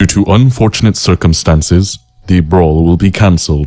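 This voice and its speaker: In a put-on character voice, a man talks at a moderate pace with a very deep, low pitch and ordinary pitch variation. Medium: audio drama. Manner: formal.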